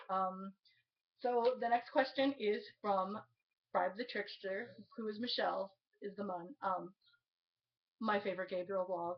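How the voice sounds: A woman speaks at a fairly slow pace with long, frequent pauses. Her pitch is medium and her intonation fairly even.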